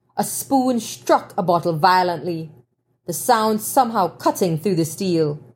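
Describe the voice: Lively intonation in plain reading aloud, set against a quiet background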